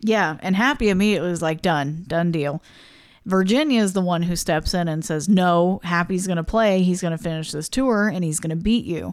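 Speaking at a fairly quick pace, a woman uses a fairly low pitch with ordinary pitch variation in a very clean recording with a silent background. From US Midwest. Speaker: podcast co-host. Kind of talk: casual chat. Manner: quiet.

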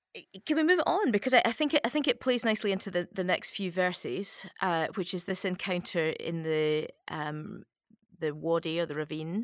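In an ordinary speaking voice, a woman of medium pitch speaks at a moderate pace with lively intonation, captured in a very clean recording with a silent background. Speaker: podcast host. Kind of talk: casual conversation, interview.

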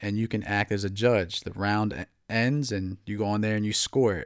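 An ordinary speaking voice from a man with an American accent, fairly low in pitch, with fairly even intonation at a moderate pace, in a very clean recording with a silent background. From New Jersey. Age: 20s. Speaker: MMA podcast host. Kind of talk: casual solo commentary.

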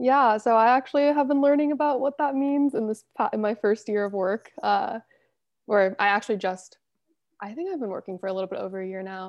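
With an American accent, a woman in an unremarkable speaking voice talks at a fairly quick pace, her fairly high pitch carried by lively intonation. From Los Angeles, US. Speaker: embedded systems engineer. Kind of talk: casual interview.

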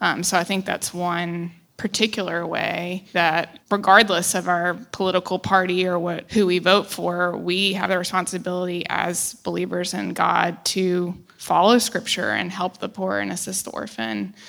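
In an American accent, a woman talks with hardly any pauses at a fairly low pitch. Her intonation is fairly even, with vocal fry throughout. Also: moderate pace. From United States. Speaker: church member panelist. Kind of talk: panel discussion.

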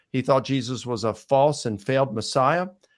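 A plain, everyday voice in an American accent, at a moderate pace with ordinary pitch variation, on a very clean recording with a silent background. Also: man. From US Mid-Atlantic (Baltimore, Maryland). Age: 50s. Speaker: scholar. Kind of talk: podcast interview.

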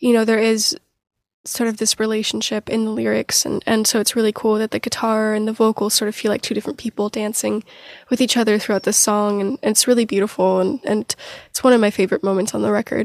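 In a very clean recording with a silent background and a dry, close sound with no echo, a woman with an American accent talks at a very fast pace with monotone, flat intonation. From US Pacific Northwest (Portland). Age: 20s. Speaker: singer-songwriter. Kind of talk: interview conversation.

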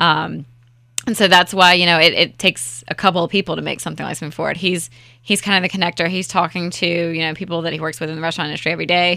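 Over a very clean recording with a silent background, a woman with a fairly low pitch and a bright, sharp tone talks at a very fast pace. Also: fairly even intonation. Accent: slight Southern US. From Raleigh, North Carolina. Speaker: festival co-founder. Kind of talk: casual interview chat.

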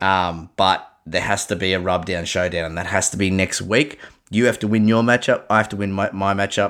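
A man with an Australian accent, fairly low-pitched and animated, at a moderate pace. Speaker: fantasy sports podcast host. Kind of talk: casual chat.

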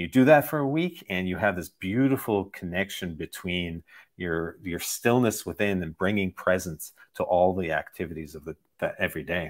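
On a very clean recording with a silent background, a man with a very deep, low pitch speaks with lively intonation. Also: moderate pace. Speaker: meditation teacher and author. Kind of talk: interview.

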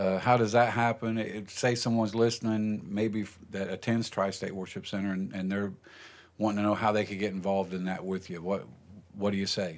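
A man's fairly low, monotone voice with flat intonation at a fairly quick pace, on a very clean recording with a silent background. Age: 60s. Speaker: pastor and podcast host. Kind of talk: casual chat. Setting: studio.

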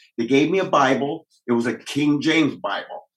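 A man with a Midwestern US accent speaks with ordinary pitch variation. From Michigan, Kalamazoo. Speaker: police officer. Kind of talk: testimony.

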